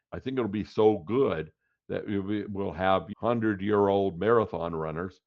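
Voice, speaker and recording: Speaking at a fairly slow pace, a man keeps his fairly low voice on fairly even intonation. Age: 60s. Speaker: tech commentator. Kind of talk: solo monologue. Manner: halting.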